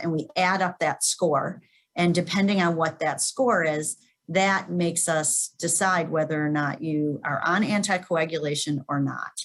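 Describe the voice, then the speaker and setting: The pace is moderate, with ordinary pitch variation. It is an ordinary speaking voice. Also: woman. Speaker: cardiac electrophysiologist. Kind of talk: webinar Q&A. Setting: webinar.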